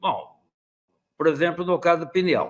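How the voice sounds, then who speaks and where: The voice belongs to a man and sits high. Nothing is heard behind it on this very clean recording. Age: 70s. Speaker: dentistry professor. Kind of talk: lecture. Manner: conversational.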